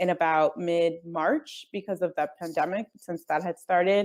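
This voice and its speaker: A woman with a Spanish accent talks at a moderate pace in a fairly low pitch with fairly even intonation, on a very clean recording with a silent background. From northern New Jersey, US. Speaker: travel blogger and company executive. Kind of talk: interview.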